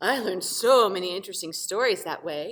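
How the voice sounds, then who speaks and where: A rumbling, put-on character voice that sounds female, at a middle pitch and a fairly quick pace. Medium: read story. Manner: grumbling.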